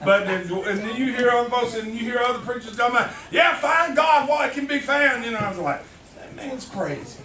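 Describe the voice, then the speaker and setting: Over noticeable background noise, a man with an extremely high pitch speaks at a fairly quick pace in a raised, projected, animated voice, with big swings in loudness. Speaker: church elder preaching. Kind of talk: fervent sermon, call-and-response preaching climax. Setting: church. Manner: rhythmic repetitive exhortation, 'you gotta' cadence; animated, calling out to congregation with interjections.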